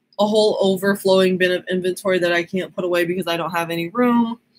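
A woman speaks with fairly even intonation. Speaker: online clothing reseller. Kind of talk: casual live stream chat. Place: home room. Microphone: webcam.

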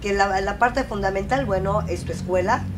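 Moderately paced speech from a woman, with light background noise behind it. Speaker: interview host. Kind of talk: interview question. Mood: warm, praising. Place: studio.

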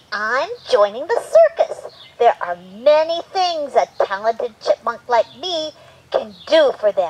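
A cartoonish character voice, high in pitch, moves along at a fairly slow pace. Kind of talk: children's puppet show. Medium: puppet. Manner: eager, upbeat.

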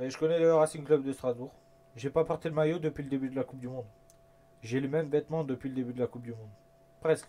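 A man's fairly high voice at a very fast pace, broken by long, frequent pauses, with big swings in loudness. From France. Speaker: gaming YouTuber. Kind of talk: casual gameplay commentary. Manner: animated. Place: home room.

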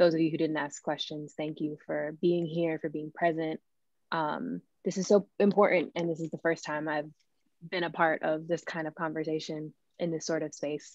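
A woman with a very deep, low voice speaks at a moderate pace in a monotone, flat intonation. The sound is dry with no echo, and the background is quiet. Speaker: musician and event host; event host. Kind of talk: event introduction and hosting. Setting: video call. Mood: warm, grateful. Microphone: video call.

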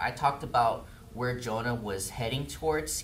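A man talks fairly slowly, with light noise in the background. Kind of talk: prayer then sermon. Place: church. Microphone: camera far.

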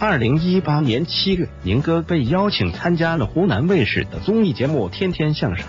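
Music behind a man talking at a moderate pace and medium pitch. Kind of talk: entertainment gossip narration.

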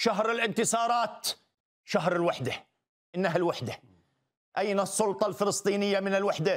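A man speaks at a moderate pace with a high pitch and ordinary pitch variation. The background is quiet. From Palestine. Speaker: writer and political commentator; commentator guest. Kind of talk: TV studio interview. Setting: studio. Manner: emphatic, rhetorical. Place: studio. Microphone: lapel.

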